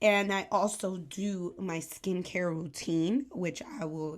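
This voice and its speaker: A woman with a New York accent speaks at a medium pitch. The recording is very clean, with a silent background. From New York, the Bronx. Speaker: aesthetician and podcast host. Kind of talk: casual talk to camera. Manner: casual, filler-heavy.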